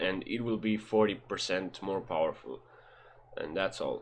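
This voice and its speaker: Against a quiet background, a man speaks in a fairly low pitch with monotone, flat intonation. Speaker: gamer. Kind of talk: game guide voiceover. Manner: casual, hesitant.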